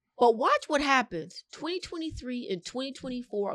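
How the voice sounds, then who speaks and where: A woman with an American accent talks at a moderate pace against a quiet background. Her pitch swings very widely. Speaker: realtor. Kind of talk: interview.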